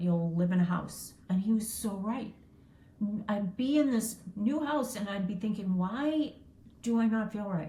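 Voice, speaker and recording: In a plain, everyday voice, a woman speaks fairly slowly at a medium pitch, with ordinary pitch variation. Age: 60s. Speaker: entrepreneur. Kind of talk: interview. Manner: casual, filler-heavy.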